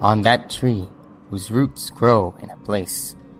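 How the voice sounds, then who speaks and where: A man mumbles in a put-on character voice at a fairly slow pace and fairly low pitch. Background noise is clearly audible. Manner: mumbling, muttered.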